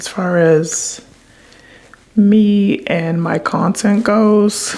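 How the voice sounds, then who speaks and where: Over noticeable background noise, a woman speaks quietly with lively intonation. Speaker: content creator vlogger. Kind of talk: casual confessional vlog. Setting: late night at home on camera. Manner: quiet low talking; hesitant, many fillers.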